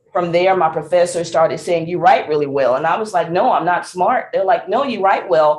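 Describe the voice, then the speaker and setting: Speaking at a fairly quick pace with hardly any pauses, a woman with a Southern US accent has a fairly low voice for a woman and ordinary pitch variation. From Mississippi. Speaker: singer, songwriter and speaker. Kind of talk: interview answer. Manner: upbeat, positive.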